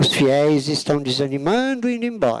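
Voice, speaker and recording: A man at a very slow pace with very wide pitch swings, over noticeable background noise. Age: 60s. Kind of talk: lecture. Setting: auditorium with audience.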